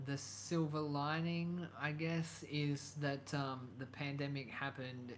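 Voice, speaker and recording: Audible room echo carries a man's fairly high-pitched voice as he speaks very slowly in an Australian accent with fairly even intonation. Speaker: YouTuber. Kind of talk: live stream chat. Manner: hesitant, many fillers.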